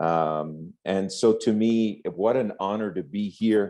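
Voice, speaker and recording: Against a quiet background, a man with a French accent speaks at a very slow pace. His fairly low voice has a dark, mellow tone and ordinary pitch variation. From France, raised in Corsica. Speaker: network marketing executive. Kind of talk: speech to event audience.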